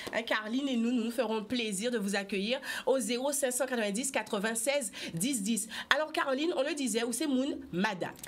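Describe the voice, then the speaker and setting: Over noticeable background noise, a woman speaks at a high pitch with very even loudness. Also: ordinary pitch variation, moderate pace. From Guadeloupe. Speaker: TV talk show host. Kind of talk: TV talk show interview. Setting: TV studio. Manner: lively.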